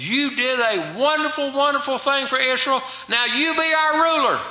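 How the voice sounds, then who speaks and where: With an American accent, a man uses a raised, projected voice at an extremely high pitch, with ordinary pitch variation, an animated tone and a moderate pace, while room echo is audible. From US South. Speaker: preacher. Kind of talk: sermon. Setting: church. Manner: animated, emphatic preaching with rhetorical questions. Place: church. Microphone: podium.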